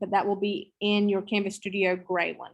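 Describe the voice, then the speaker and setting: The speaker has a Southern US accent. The background is quiet. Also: woman. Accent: Southern drawl. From US South. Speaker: teacher trainer. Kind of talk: online training session. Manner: casual. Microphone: video call.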